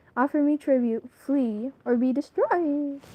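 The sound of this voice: Putting on a squeaky character voice, a woman speaks at a high pitch and a moderate pace in a dramatic, pompous tone.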